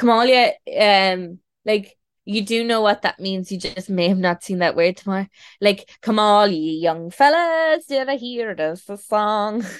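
With a western Irish accent, the voice moves at a fairly slow pace with lively intonation. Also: woman, medium pitch for a woman. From Ireland, Galway. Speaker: singer-songwriter. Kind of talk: casual interview. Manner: halting.

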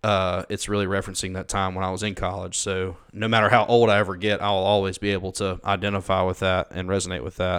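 A man rattles off words at a very fast pace with hardly any pauses. His voice is very deep and low, and his intonation monotone and flat. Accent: Southern US. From Mississippi. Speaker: college pastor. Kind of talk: casual chat.

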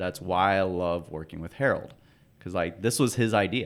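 A man speaks with a very deep, low pitch and ordinary pitch variation on a very clean recording with a silent background. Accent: American. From Oakland, California. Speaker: company founder. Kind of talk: casual interview.

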